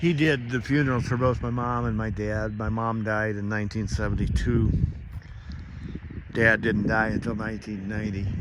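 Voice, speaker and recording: Over noticeable background noise and audible room echo, a man with an American accent speaks at a moderate pace in a fairly low voice with fairly even intonation. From US Midwest, Indiana. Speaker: devotional vlogger. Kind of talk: devotional monologue. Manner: casual, folksy.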